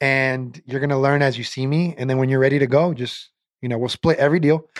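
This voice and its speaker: A man with an American accent, very fast pace and fairly even intonation. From US Pacific Northwest (Portland, Oregon). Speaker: sales executive. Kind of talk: casual interview. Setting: studio.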